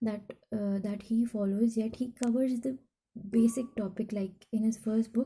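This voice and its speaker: Fairly slow speech in a non-native accent. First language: not English. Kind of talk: casual talk to camera. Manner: slow, hesitant; anxious.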